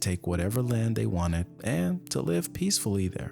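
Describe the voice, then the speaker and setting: Very wide pitch swings run through the voice, with music playing in the background. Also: man. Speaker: ASMR reader. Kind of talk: casual talk to camera, chatty asides. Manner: soft-spoken, slow, relaxed.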